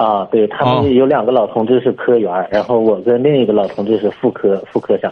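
A man's medium-pitched voice at a fairly quick pace, with fairly even intonation, very even loudness, hardly any pauses and noticeable background noise. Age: 30s. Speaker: caller, civil servant. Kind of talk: phone-in advice call.

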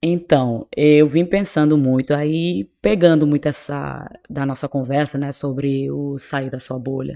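A woman speaks at a fairly slow pace in a very deep, low pitch. Her tone is dark and mellow, and the sound is dry and close with no echo. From Cape Verde. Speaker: doctor. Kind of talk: interview.

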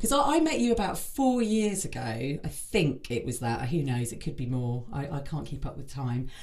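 A woman at a moderate pace, her intonation lively. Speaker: podcast host. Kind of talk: casual interview chat.

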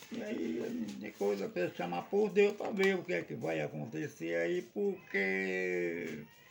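A man's very slow speech with hardly any pauses. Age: 70s. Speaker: samba de roda master. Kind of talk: casual chat. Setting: at his samba venue.

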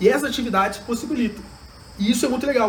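A man at a very fast pace, with audible room echo. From Brazil, Juiz de Fora (Minas Gerais). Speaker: education entrepreneur, leadership trainer. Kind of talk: interview.

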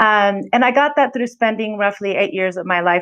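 A woman with a normal speaking voice and an American accent talks at medium pitch. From California. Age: 40s. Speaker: podcast host. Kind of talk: solo podcast intro monologue.

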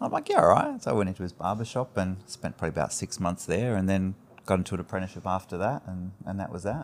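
A man with an Australian accent, very deep and low in pitch, ordinary pitch variation, at a very fast pace. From Adelaide, South Australia (Greek Cypriot family, emigrated as infant). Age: 40s. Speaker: hairdresser and barbering educator. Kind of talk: casual chat.

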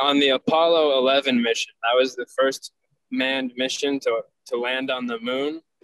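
Speaking fairly slowly with long, frequent pauses, a man keeps a medium pitch and a monotone, flat intonation. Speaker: podcast co-host. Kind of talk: casual chat.

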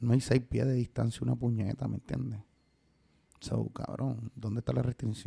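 Speaking at a moderate pace, a man uses a medium-pitched, dark, mellow tone with vocal fry and flat, monotone intonation. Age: 30s. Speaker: artist manager. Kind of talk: casual chat.

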